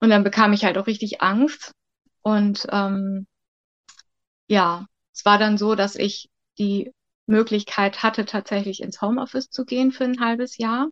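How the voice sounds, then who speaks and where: Over a quiet background, in a dry, close sound with no echo, a woman talks at a fairly slow pace in a fairly high voice, with fairly even intonation and long, frequent pauses. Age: 50s. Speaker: childcare worker. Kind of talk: interview.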